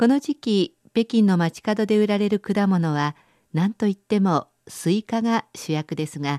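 A woman's medium-pitched voice, dark and mellow in tone, at a fairly slow pace with lively intonation, dry and close with no echo over a quiet background. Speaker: radio presenter. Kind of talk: scripted narration.

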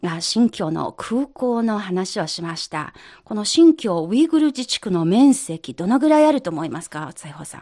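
A woman speaks with big swings in loudness and very wide pitch swings. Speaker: radio host. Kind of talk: radio program presenting. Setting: studio.

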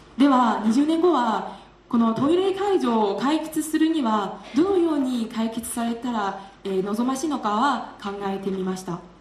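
A woman's fairly high pitch with very wide pitch swings, at a fairly slow pace with hardly any pauses, over noticeable background noise. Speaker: graduate student. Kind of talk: speech contest presentation.

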